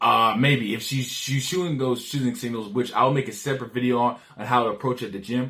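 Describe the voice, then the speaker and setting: A man talks at a moderate pace in a medium pitch. His tone is bright and sharp, and his intonation fairly even. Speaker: dating advice youtuber. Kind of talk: casual vlog advice monologue. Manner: slurring words; casual, rambling with repetitions.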